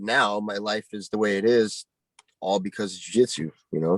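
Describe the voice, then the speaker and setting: A man with an American accent has an unremarkable speaking voice, fairly low in pitch with ordinary pitch variation. He talks at a moderate pace, and the sound is dry and close with no echo. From Montana, US. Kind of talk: casual interview chat.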